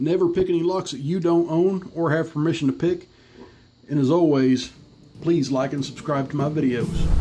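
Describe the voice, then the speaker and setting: Over music in the background, the speaker talks at a moderate pace with fairly even intonation. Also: man, fairly high pitch for a man. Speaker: locksport hobbyist. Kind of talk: tutorial.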